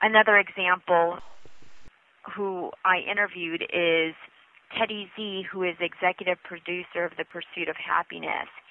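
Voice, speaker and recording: The speaker has a Northwestern US accent and monotone, flat intonation. The pace is moderate. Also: woman, medium pitch for a woman. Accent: American, US Northwest. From Washington State, US (immigrated from the Philippines at 5). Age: 30s. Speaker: author and former TV news reporter. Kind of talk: interview.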